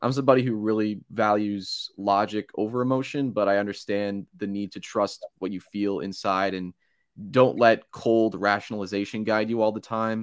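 A man's normal speaking voice, fairly low in pitch, with an American accent, fairly even intonation and a moderate pace, on a very clean recording with a silent background and a dry, close sound with no echo. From New Jersey Shore. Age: 20s. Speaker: college radio host. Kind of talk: interview guest.

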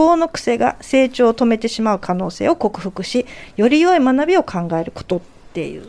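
Her voice sits high for a woman. The pitch swings very widely. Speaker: radio panelist. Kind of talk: radio talk show, reading listener mail aloud. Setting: radio studio, late-night live broadcast.

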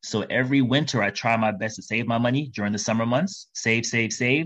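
The speaker has a plain, everyday voice and an American accent, with ordinary pitch variation. The pace is moderate and the background is quiet. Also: man. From New York City. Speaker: travel podcaster. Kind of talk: interview. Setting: remote call.

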